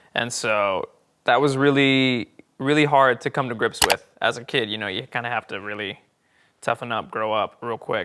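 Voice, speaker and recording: A man speaks with an American accent at a moderate pace. His pitch is medium, in an unremarkable speaking voice. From Oklahoma. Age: 20s. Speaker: stage actor. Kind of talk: interview. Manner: casual, many fillers.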